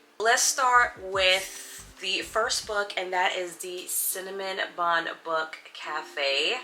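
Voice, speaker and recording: Amid noticeable background noise, a woman at a medium pitch speaks very slowly with ordinary pitch variation and hardly any pauses. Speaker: book video creator. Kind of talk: casual chat.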